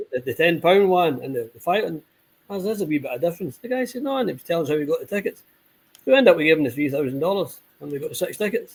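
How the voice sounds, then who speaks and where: With a Scottish accent, a high-pitched man races along at a very fast pace, his voice making very wide pitch swings. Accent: Scottish, noted as foreign in Spain. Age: 60s. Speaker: football supporters club member. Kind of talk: casual chat. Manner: halting, repetitive.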